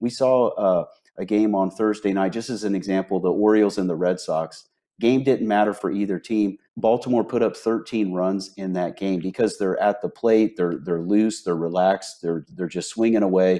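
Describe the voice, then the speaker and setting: Against a quiet background, a man speaks at a moderate pace in a fairly low voice. His tone is dark and mellow, his intonation fairly even. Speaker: sports betting analyst, remote guest. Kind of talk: commentary. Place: home room. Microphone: earbuds.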